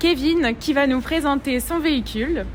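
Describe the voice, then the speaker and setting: Over noticeable background noise, a woman with a northern French accent and high pitch talks at a very slow pace with ordinary pitch variation. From northern France. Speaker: car YouTuber. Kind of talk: casual interview.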